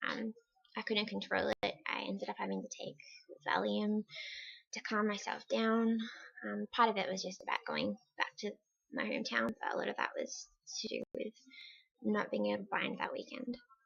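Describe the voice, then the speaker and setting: A woman at a moderate pace with long, frequent pauses, in a dry, close sound with no echo. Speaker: vlogger. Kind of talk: personal video diary. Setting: at home by a window.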